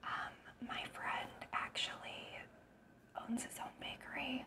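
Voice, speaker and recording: Whispering very slowly, a woman uses a soothing tone. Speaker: ASMR eating creator. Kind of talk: casual talk to camera. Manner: whispered, soothing. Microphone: lapel.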